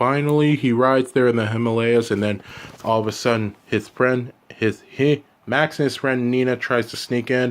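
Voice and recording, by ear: The speaker is reading aloud. The delivery is in a natural voice.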